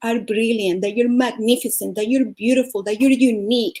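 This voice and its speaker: A woman speaks with a Venezuelan accent at a moderate pace. Her pitch is fairly high with ordinary variation, and her tone is dark and mellow. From Venezuela (Caracas). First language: Spanish. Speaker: life coach and speaker. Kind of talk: motivational talk.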